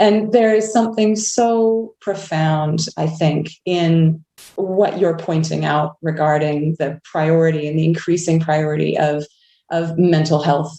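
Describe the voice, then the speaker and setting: A woman with a Canadian accent speaks at a fairly low pitch with ordinary pitch variation. Her tone is dark and mellow, and her pace is fairly slow. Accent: Canadian, noticeable. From Canada, Vancouver. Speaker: clergy. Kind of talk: panel discussion. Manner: reflective, halting.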